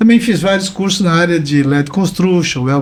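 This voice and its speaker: At a moderate pace, a man talks with lively intonation and a high pitch. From Brazil, Santa Catarina coast (Balneário Camboriú). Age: 60s. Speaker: environmental consultant and author. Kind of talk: podcast interview.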